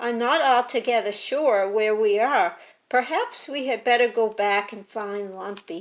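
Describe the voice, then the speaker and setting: A woman's croaky put-on character voice, fairly high in pitch, at a moderate pace. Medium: read story.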